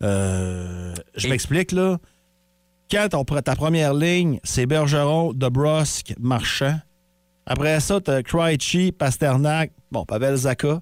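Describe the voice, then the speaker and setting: A man with a Quebec accent speaks at a very slow pace with long, frequent pauses, lively intonation and very even loudness. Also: fairly high pitch for a man. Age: 40s. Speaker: morning radio host. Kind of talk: casual radio banter. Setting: radio studio.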